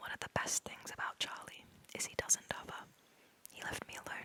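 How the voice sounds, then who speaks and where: A woman whispers at a moderate pace while noticeable background noise carries on behind her. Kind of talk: audiobook-style reading of a novel in first person. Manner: close-up whispered.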